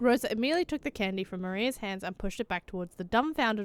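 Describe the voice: Lively intonation over plain reading aloud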